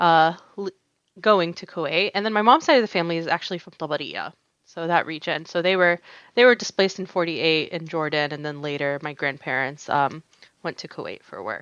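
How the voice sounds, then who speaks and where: A woman with a fairly low pitch talks at a fairly quick pace, with ordinary pitch variation and big swings in loudness. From US, North Carolina. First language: Arabic. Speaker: embroidery artist. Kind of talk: casual interview chat. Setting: podcast.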